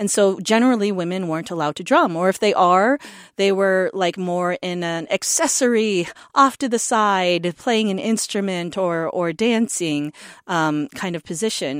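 A woman with a normal speaking voice talks at medium pitch and a moderate pace, in a very clean recording with a silent background and a dry, close sound with no echo. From North Dakota, US. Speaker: taiko drummer. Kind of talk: interview.

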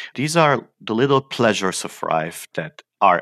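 A man speaks fairly slowly in a bright, sharp tone with vocal fry and very wide pitch swings. The sound is dry and close with no echo. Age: 50s. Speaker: physicist. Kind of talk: interview.

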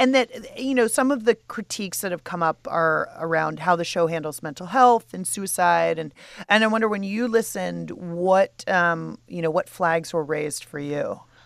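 In a plain, everyday voice, a woman talks at a moderate pace with hardly any pauses, lively intonation, and fairly low pitch, on a very clean recording with a silent background. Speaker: podcast host. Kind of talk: casual chat.

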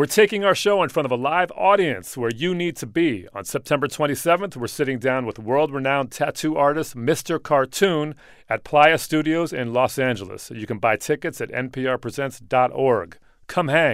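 A man with a plain, everyday voice, fairly high pitch and lively intonation at a moderate pace, in a very clean recording with a silent background. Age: 40s. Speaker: podcast host and DJ. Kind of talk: casual interview chat. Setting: studio.

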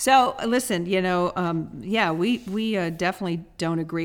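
Recorded very cleanly against a silent background, a woman uses an ordinary speaking voice at medium pitch with lively intonation. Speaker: podcast co-host. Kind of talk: casual chat.

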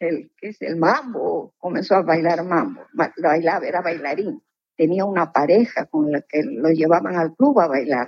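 A plain, everyday voice at a fairly slow pace, with lively intonation. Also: woman, fairly low pitch for a woman. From northern Peru. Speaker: retired teacher, story subject. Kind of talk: interview storytelling.

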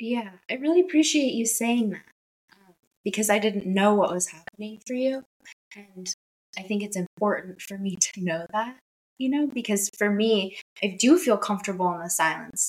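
Soft-spoken, a woman talks at a moderate pace and medium pitch with ordinary pitch variation and big swings in loudness. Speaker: marriage and family therapist. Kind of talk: casual interview. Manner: careful, measured.

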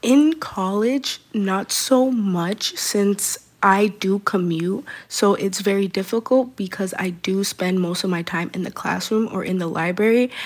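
In an American accent, a woman talks at a fairly slow pace with a normal speaking voice. Her pitch is medium, with ordinary pitch variation. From Boston. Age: young. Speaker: first-time voter, student. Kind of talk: radio interview.

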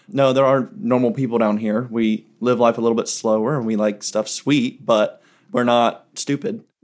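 A man speaks in a Southern US accent at a medium pitch. His pace is moderate and his intonation fairly even. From South Carolina. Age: 20s. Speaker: recent college graduate. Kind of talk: group interview.

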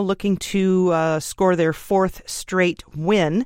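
Her voice sits at a medium pitch and varies in a typical way. This woman has an ordinary speaking voice. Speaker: radio news host. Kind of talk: news reading, scripted radio newscast. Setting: studio. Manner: brisk, polished, even-toned delivery; formal, steady pace.

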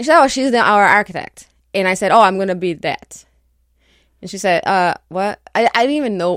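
Speaking with a Portuguese accent, a woman uses lively intonation at a moderate pace. The sound is dry and close, with no echo. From Brazil. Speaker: architect. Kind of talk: radio interview. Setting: studio.

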